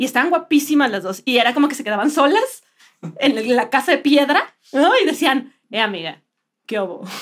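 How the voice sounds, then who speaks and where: Lively intonation marks the high-pitched voice of a woman. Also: moderate pace. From Mexico, Puebla. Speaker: comedian and podcast co-host. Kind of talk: casual comedic chat.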